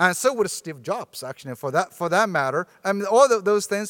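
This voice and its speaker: With a Chinese accent, the speaker has a bright, sharp tone and very wide pitch swings, recorded dry and close with no echo. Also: man. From China, Sichuan province. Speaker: professor. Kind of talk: lecture.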